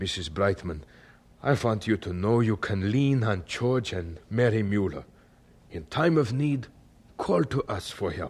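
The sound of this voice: A man does a put-on character voice at a fairly slow pace. It has a fairly low pitch, a slightly mellow tone, a slightly husky edge and lively intonation.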